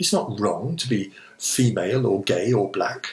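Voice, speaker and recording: A man's somewhat breathy, medium-pitched voice with an English accent and very wide pitch swings. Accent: received pronunciation. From England. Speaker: vlogger. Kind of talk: personal essay monologue. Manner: reflective.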